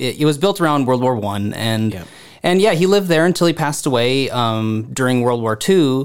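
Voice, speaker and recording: With an American accent, a man speaks in an unremarkable speaking voice at a fairly quick pace, his medium pitch carried by lively intonation on a very clean recording with a silent background. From Southeast Minnesota (Harmony). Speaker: arts program director. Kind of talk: casual interview.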